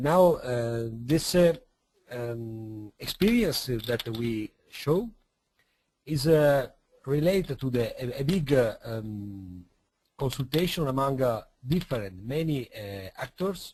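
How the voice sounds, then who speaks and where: Speaking with an Italian accent, a man has a medium pitch and a somewhat breathy voice. His pace is very slow, and his intonation is lively. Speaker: city representative. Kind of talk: presentation. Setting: online webinar. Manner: halting.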